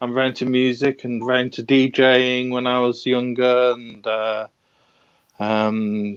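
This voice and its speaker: Flat, monotone intonation from a man at a medium pitch and a fairly slow pace. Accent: northern English. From northern England. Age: 40s. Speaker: watch collector. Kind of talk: casual interview. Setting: live stream. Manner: halting.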